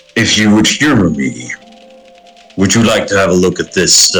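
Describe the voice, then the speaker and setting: A man performs a put-on character voice. Faint music plays in the background. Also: fairly low pitch for a man, moderate pace. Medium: actual play. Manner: gruff, dry.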